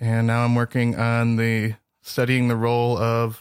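Speaking with an American accent, a man uses medium pitch at a moderate pace. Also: very clean recording, silent background. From US Midwest, northern Michigan. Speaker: PhD student, microbiologist. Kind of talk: interview.

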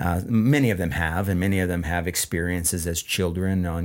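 The pace is fairly quick, and the recording is very clean with a silent background. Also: man. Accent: American. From central Washington, US. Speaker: business owner, farm land manager. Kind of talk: interview. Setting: studio.

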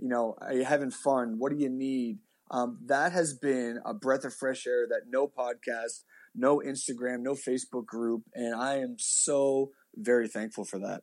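With a Nova Scotian accent, a man at medium pitch talks at a moderate pace with ordinary pitch variation. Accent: Nova Scotian Canadian English. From Canada, Halifax, Nova Scotia. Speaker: pastor. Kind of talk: casual interview.

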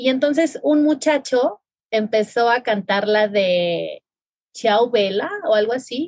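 A woman speaks at a high pitch and a very slow pace, with lively intonation. Her loudness stays very even. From Mexico, Mazatlán, Sinaloa. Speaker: podcast host. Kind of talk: casual chat.

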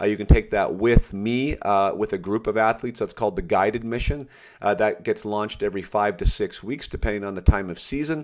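On a very clean recording with a silent background, a man with a plain, everyday voice speaks at medium pitch. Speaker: podcast host and former hockey player. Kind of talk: interview podcast.

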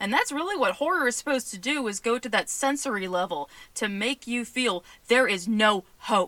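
Woman's fairly high voice at a moderate pace, lively intonation, dry and close with no echo, over noticeable background noise. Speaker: podcast host. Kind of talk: casual solo podcast commentary.

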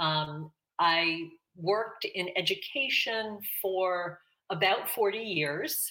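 A woman speaks with a Pittsburgh accent in a bright, sharp tone. Her pitch varies in an ordinary way. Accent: American, Pittsburgh. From Pittsburgh, Pennsylvania. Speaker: retired educator and farmer, Irish learner. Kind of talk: interview.

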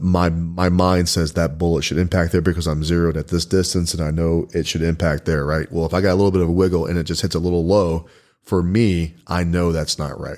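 In a very clean recording with a silent background, a man with a Texan accent speaks fairly quickly with hardly any pauses, his very deep, low pitch held in a monotone, flat intonation. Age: 40s. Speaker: podcast host and firearms instructor. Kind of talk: casual interview.

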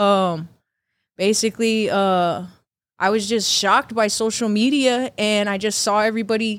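Over a very clean recording with a silent background, a woman with an American accent uses an unremarkable speaking voice, fairly high in pitch, at a moderate pace with fairly even intonation. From Texas, San Antonio. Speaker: barber. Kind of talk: casual chat.

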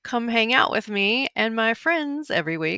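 The voice sounds animated and bright, with a sharp tone and very wide pitch swings. The recording is very clean, with a silent background and a dry, close sound with no echo. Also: woman. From Arkansas. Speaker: podcast host. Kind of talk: scripted monologue.

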